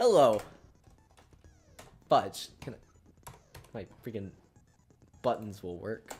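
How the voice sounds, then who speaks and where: Music plays in the background while the speaker talks at a fairly slow pace. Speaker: gaming streamer. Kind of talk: live game stream sign-off. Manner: casual, hesitant with filler words.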